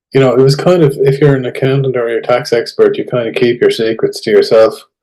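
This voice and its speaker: Speaking very fast, a man talks with an Irish accent. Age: 60s. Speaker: tax expert. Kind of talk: casual interview.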